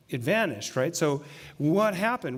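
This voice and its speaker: On a very clean recording with a silent background, a man speaks at a fairly high pitch. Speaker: pastor. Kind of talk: sermon. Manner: fast.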